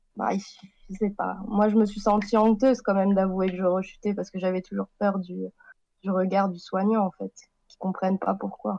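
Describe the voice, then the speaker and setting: A woman's dark, mellow voice at medium pitch, flat and monotone, at a moderate pace, in a dry, close sound with no echo. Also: big swings in loudness. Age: 20s. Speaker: recovering alcoholic, author. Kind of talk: testimony. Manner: halting.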